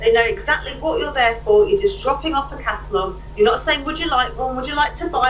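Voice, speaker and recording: A woman talks at a fairly quick pace with very wide swings in pitch, over noticeable background noise and audible room echo. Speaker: catalogue sales trainer. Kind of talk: webinar training. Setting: webinar. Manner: fast.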